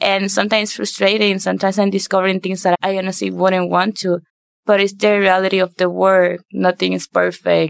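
A woman with a Spanish accent speaks in a flat monotone at a fairly quick pace, the sound dry and close with no echo. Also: medium pitch for a woman. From Puerto Rico. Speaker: university student. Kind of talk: podcast interview.

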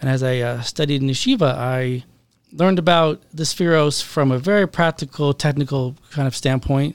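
A man's unremarkable speaking voice with a fairly high pitch and ordinary pitch variation, at a moderate pace in an American accent, on a very clean recording with a silent background. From US Pacific Northwest, Seattle. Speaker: rabbi and therapist. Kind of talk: podcast interview.

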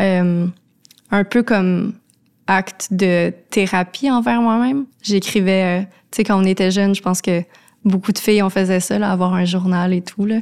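A woman with a Quebec accent speaks at a fairly slow pace with long, frequent pauses, her medium pitch and fairly even intonation matched by very even loudness, in a very clean recording with a silent background. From Quebec, Laurentides. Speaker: cultural contributor. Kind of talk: casual interview. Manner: hesitant, many fillers.

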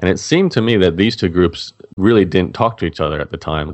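This is a man speaking with an Australian accent. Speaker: blogger and online entrepreneur. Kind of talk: interview.

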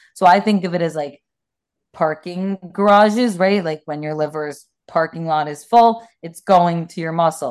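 A woman's fairly low voice, a normal speaking voice, with ordinary pitch variation. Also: moderate pace. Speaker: personal trainer and nutrition coach. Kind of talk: interview, conversational explanation.

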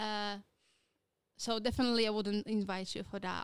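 This woman speaks with a Polish accent at a medium pitch. Her intonation is fairly even. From Poland. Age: 20s. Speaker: podcast co-host. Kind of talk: casual chat.

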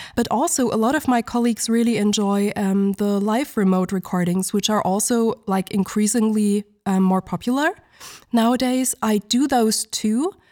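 A woman's fairly high voice has a dark, mellow tone and very even loudness, with a dry, close sound and no echo. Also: ordinary pitch variation, moderate pace. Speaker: soundtrack vocalist. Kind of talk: interview.

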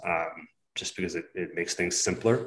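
A man with an unremarkable speaking voice and a Canadian accent shows ordinary pitch variation. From southwestern Ontario. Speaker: custom home builder. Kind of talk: casual interview.

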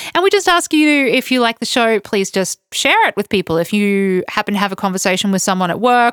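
With an Australian accent, a woman speaks in a fairly high voice with very wide pitch swings. The recording is very clean, dry and close, with no echo and a silent background. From Australia, Queensland (Toowoomba). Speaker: podcast co-host, travel blogger. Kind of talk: casual chat. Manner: laughs often.

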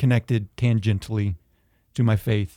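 A man with an American accent speaks at a fairly slow pace in a dark, mellow tone, at a medium pitch with ordinary variation. The sound is dry and close with no echo, on a very clean recording with a silent background. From US South (Georgia and northeast Tennessee). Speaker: school administrator, recent convert. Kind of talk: faith testimony in casual interview.

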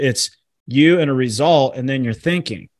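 A man's voice with lively intonation. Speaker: author and entrepreneur. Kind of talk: casual interview chat. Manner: animated, high energy.

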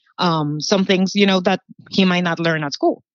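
The speaker has a Spanish accent. Pitch varies in an ordinary way. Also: woman. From Puerto Rico. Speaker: public relations manager. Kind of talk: casual interview.

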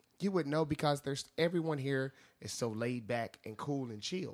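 With lively intonation and a fairly high pitch, a man speaks at a moderate pace in a normal speaking voice. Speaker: bar door staff. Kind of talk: casual debate. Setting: studio.

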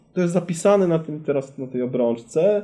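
A man talks at a very fast pace in a high pitch with a dark, mellow tone. His pitch swings very widely. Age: 40s. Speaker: company CEO. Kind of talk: interview.

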